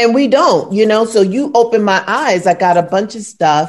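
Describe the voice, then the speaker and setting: A woman speaks with a New York accent. Her pitch varies in an ordinary way. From New York, Brooklyn. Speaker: podcast co-host. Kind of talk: casual chat.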